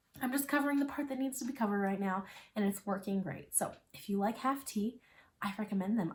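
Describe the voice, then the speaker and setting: Somewhat breathy, a woman with a medium pitch speaks at a fairly quick pace with lively intonation. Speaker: knitting and crochet podcaster. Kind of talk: casual chat. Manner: chatty.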